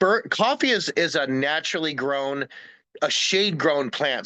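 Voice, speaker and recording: A man speaks with an American accent in a bright, sharp tone. The background is quiet. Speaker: wildlife rehabilitation specialist. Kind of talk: presentation to a community group. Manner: filler-heavy, repeating words.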